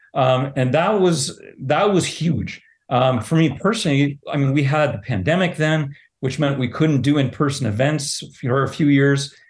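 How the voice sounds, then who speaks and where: A somewhat breathy man with a Canadian accent speaks at a fairly high pitch, his loudness very even. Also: ordinary pitch variation, moderate pace. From Southern Ontario. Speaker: pride organization president, teacher. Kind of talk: interview.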